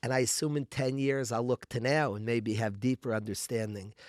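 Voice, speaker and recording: A man's voice in a dry, close sound with no echo. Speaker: rabbi. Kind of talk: interview. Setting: studio.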